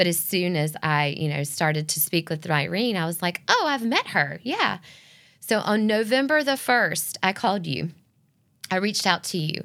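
On a very clean recording with a silent background, a woman with a fairly low pitch speaks at a moderate pace, her pitch swinging very widely. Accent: Southern US. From US South, Northeast Georgia. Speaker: ministry volunteer and business owner. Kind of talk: testimony.

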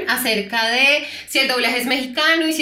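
A woman speaks with a high pitch. Audible room echo and noticeable background noise surround her voice. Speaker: podcast co-host and voice actor. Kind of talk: casual chat.

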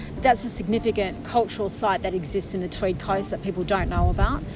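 A medium-pitched woman with an Australian accent and ordinary pitch variation, with music in the background. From northern New South Wales, Australia. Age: 40s. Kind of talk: interview storytelling. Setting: outdoors by the coast.

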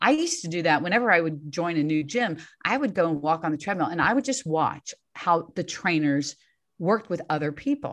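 A woman's unremarkable speaking voice, fairly low in pitch, at a fairly quick pace with lively intonation over a quiet background. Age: 60s. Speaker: fitness coach. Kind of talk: interview conversation.

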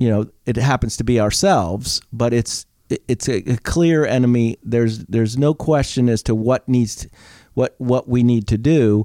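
A man talks at a moderate pace and medium pitch with a dark, mellow tone and ordinary pitch variation, in a dry, close sound with no echo. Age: 60s. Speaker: retired teacher. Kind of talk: casual chat. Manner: clear and precise.

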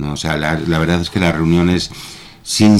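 A man with a very deep, low pitch talks as noticeable background noise plays behind him. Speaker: reading club member. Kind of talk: radio interview. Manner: hesitant, many fillers.

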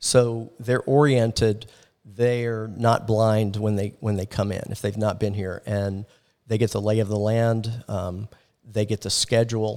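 On a very clean recording with a silent background, a man with an American accent talks fairly slowly at a fairly low pitch in a monotone, flat intonation. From Florida, Orlando. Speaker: church missions coordinator. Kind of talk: casual interview chat. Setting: camp ground.

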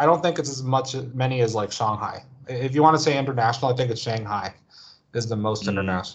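A man with an American accent speaks at a very fast pace. His medium pitch shows ordinary pitch variation. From United States. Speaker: video game industry worker. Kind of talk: casual interview. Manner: halting, many fillers.

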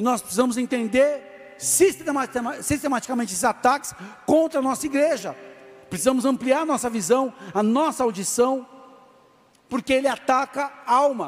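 The speech is loud, with long, frequent pauses and noticeable background noise. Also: man, extremely high pitch for a man, ordinary pitch variation, moderate pace. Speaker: pastor. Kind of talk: sermon. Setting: church.

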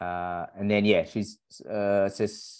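A man with an Australian accent speaks with a fairly low pitch. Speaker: running podcast co-host and running coach. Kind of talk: casual chat. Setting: remote recording with guest.

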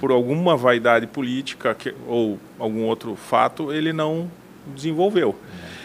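A man talks at a moderate pace with lively intonation. He has an unremarkable speaking voice. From western Santa Catarina, Brazil (Mondaí). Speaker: architect. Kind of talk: interview.

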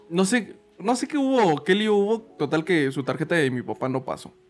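A man with a Mexican accent talks at a moderate pace. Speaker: podcast co-host. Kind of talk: casual chat.

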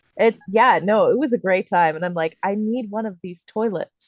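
A woman speaks in a plain, everyday voice at a moderate pace with ordinary pitch variation against a quiet background. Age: 30s. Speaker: podcast co-host. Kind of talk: casual chat.

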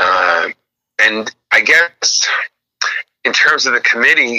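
The voice has an American accent. The sound is dry and close, with no echo. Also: man. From Los Angeles. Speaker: actor and comedian. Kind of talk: interview.

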